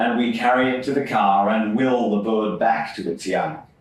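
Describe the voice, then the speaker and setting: Fairly slow speech with an Australian accent, noticeable background noise and audible room echo. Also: man. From Sydney, Australia (Epping). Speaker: poet. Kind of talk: poetry reading. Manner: measured, deliberate.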